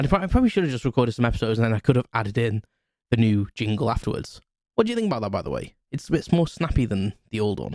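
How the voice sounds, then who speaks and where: In an English accent, a man at medium pitch speaks at a very fast pace with lively intonation, his sound dry and close with no echo. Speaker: podcast host. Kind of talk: casual solo podcast chat. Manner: halting, many fillers and restarts.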